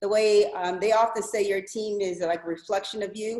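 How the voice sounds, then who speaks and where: A woman with an American accent speaks with fairly even intonation. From Kansas. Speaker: college basketball coach. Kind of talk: video call introduction. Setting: video call. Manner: fast.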